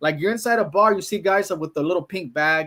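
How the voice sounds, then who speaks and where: A man with a Mexican accent at a very fast pace and ordinary pitch variation, on a very clean recording with a silent background. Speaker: travel vlogger. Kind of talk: casual chat. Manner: animated.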